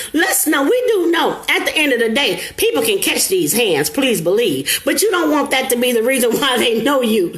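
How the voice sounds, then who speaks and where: A woman talks in a high-pitched, animated tone with very wide pitch swings, at a moderate pace with hardly any pauses and very even loudness. Audible room echo and noticeable background noise fill the recording. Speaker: motivational live streamer. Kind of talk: live stream motivational talk. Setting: live stream.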